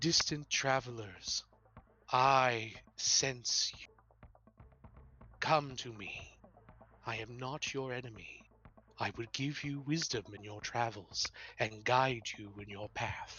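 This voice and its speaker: Using a put-on character voice, a man booms at a medium pitch and a fairly slow pace, his loudness swinging widely while his intonation stays fairly even, with long, frequent pauses. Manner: solemn, guiding.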